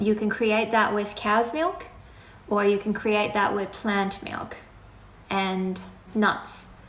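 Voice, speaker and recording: The voice moves at a very slow pace with long, frequent pauses and ordinary pitch variation, set against noticeable background noise and audible room echo. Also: woman, medium pitch for a woman. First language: Farsi. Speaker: animal rights activist. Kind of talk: live Q&A. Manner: casual, conversational.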